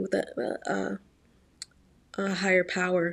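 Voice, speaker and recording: A woman at medium pitch speaks in a Virginia accent. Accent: faint Virginia. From Virginia, US. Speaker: YouTuber and aspiring actress. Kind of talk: vlog monologue.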